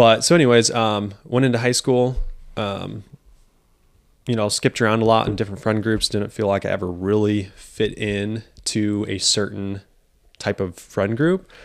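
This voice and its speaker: A man with an American accent has an unremarkable speaking voice, fairly low in pitch with fairly even intonation, at a moderate pace on a very clean recording with a silent background. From US Midwest, Quincy, Illinois. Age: 20s. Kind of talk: casual interview chat.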